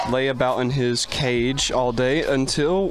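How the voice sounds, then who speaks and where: Faint background noise is present. Over it, a man talks. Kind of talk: interview answer. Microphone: handheld.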